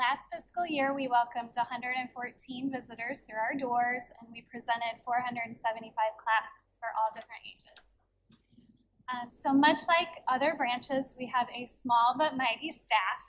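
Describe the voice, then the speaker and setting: Soft-spoken and high-pitched, a woman keeps her intonation fairly even. Her loudness swings widely. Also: moderate pace. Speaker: library branch manager. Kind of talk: board meeting presentation. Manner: reading from notes.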